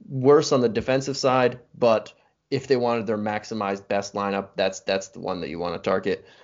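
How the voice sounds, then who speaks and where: Speaking in an ordinary speaking voice, this man keeps his pitch at a medium level. His pace is fairly quick, and his pitch varies in an ordinary way. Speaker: podcast co-host. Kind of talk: casual chat.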